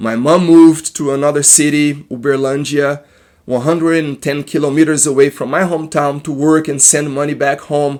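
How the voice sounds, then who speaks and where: Speaking in a Brazilian accent, a man keeps a moderate pace and a fairly high pitch, his intonation monotone and flat. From Brazil, Minas Gerais. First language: Portuguese. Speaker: therapist. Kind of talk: personal testimony. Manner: halting.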